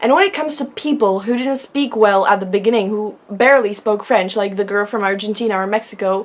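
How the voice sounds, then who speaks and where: A woman with a Czech accent speaks at a fairly high pitch and a moderate pace. Her pitch varies in an ordinary way, and there is noticeable background noise. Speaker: vlogger. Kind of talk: casual vlog talk.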